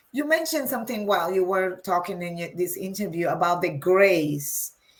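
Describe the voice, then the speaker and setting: A woman speaks in a Spanish accent at medium pitch. Her pace is fairly quick and her intonation lively. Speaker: interviewer. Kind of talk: interview. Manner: halting.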